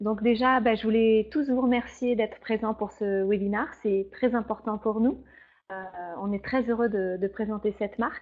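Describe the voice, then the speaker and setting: Her intonation is fairly even and her pitch fairly high. This woman speaks at a moderate pace. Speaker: beauty trainer and beautician. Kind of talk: product training webinar. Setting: online webinar. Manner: hesitant, many fillers.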